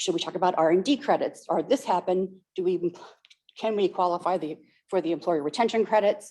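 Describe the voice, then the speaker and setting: At a very fast pace, a woman talks in a medium pitch with a dark, mellow tone and ordinary pitch variation. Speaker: accountant, workshop presenter. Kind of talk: workshop presentation.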